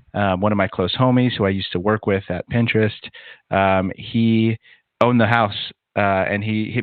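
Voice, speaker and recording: Fairly low in pitch, a man talks with a Californian accent and fairly even intonation. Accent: Californian American English. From Southern California. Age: 30s. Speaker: podcast studio founder, adjunct professor. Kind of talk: casual interview conversation.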